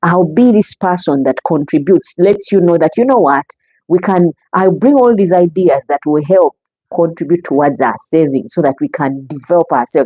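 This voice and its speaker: Her intonation is lively and her pitch fairly low for a woman, in a Ugandan accent. Her loudness stays very even. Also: moderate pace. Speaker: relationship talk show host. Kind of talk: live stream talk. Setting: live stream.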